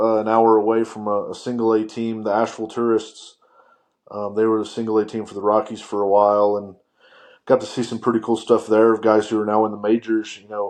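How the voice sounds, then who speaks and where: Over a quiet background, a man with a slight Southern US accent speaks at a fairly quick pace in a fairly low, monotone, flat voice. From US South, western North Carolina. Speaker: sports writer. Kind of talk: casual chat. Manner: halting, many fillers.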